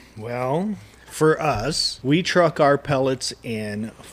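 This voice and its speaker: Speaking very slowly with an American accent, a man uses a fairly high pitch and very wide pitch swings. Background noise is noticeable. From US West, Reno, Nevada. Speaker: barbecue podcast co-host and smoker builder. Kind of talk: casual chat.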